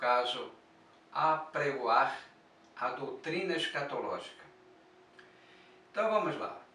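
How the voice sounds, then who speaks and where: Speech from a man comes at a very slow pace with long, frequent pauses. The room echo is audible. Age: 60s. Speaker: church elder and prophecy teacher. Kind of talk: religious teaching monologue.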